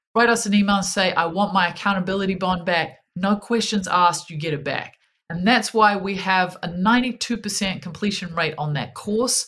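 Her pitch medium, this woman talks with hardly any pauses and ordinary pitch variation. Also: moderate pace. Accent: New Zealand. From New Zealand. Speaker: happiness strategist. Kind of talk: casual interview chat.

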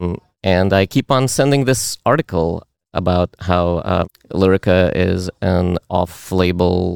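A man speaks in a Russian accent with a very deep, low pitch and ordinary pitch variation. The recording is very clean with a silent background and a dry, close sound with no echo. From Uzbekistan. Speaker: meetup participant. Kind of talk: casual chat.

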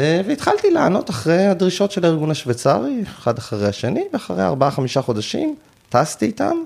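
A man's pitch swings very widely while he keeps a moderate pace. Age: 40s. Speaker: end-of-life companion for assisted dying. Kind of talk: interview.

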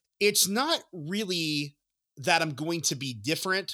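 Enthusiastic, bright and sharp tone on a very clean recording with a silent background. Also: man. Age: 40s. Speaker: sports podcast host. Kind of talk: solo podcast monologue.

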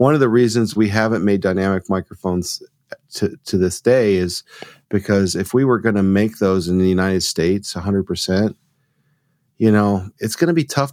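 With an American accent, a man speaks in a normal speaking voice at a fairly low pitch, recorded with a dry, close sound with no echo. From US South, Georgia (near Rome). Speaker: audio company founder. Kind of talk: interview.

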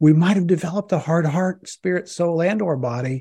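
A man's dark, mellow, somewhat breathy voice at a moderate pace, with ordinary pitch variation and a quiet background. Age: 50s. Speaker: family doctor and minister. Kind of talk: interview.

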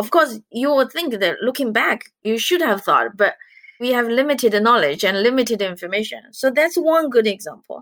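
Speaking with a Chinese accent, a woman uses a high pitch and lively intonation at a moderate pace. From China. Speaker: investment director, economist. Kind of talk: interview, conversational.

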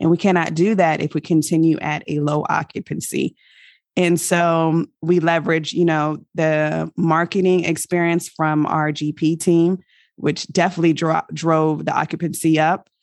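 With an American accent, a woman speaks in a fairly low pitch with monotone, flat intonation at a moderate pace, in a dry, close sound with no echo and a quiet background. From military family, mainly Virginia and Germany. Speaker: real estate investor, army veteran. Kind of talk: interview. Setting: remote call from abroad.

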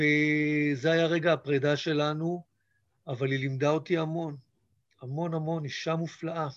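A man speaks fairly slowly in a monotone, flat intonation. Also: fairly high pitch for a man. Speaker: theatre director. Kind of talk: interview.

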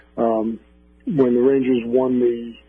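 Music plays in the background as a man speaks at a medium pitch. His pace is fairly slow and his intonation monotone and flat. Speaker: sports reporter and author. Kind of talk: radio interview.

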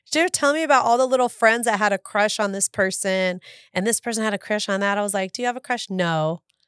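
Recorded very cleanly with a silent background and a dry, close sound with no echo, a woman with an American accent speaks very fast in a fairly high voice with ordinary pitch variation. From Southern California, San Fernando Valley. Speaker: real estate broker and podcast co-host. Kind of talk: casual chat.

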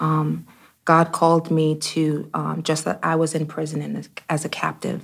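A woman with an American accent speaks at a moderate pace. Her very deep, low voice has vocal fry. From US Northeast (Brooklyn, New York). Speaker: church executive and speaker. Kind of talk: interview.

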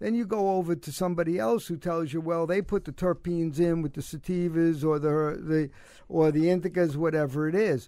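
A dark, mellow tone with a Brooklyn accent moves at a fairly quick pace with ordinary pitch variation, captured in a very clean recording against a silent background. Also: man, high pitch for a man. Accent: New York (Brooklyn). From Brooklyn, New York. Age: 70s. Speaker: former basketball coach, cancer survivor. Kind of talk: casual interview. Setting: studio.

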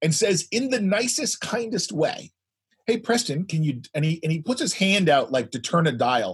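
A loud man with a high pitch and very wide pitch swings speaks at a moderate pace. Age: old. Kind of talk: casual chat.

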